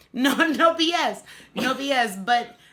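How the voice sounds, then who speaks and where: A woman with an animated tone, over noticeable background noise. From US East Coast. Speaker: bodybuilder and singer. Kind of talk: casual interview. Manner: loud.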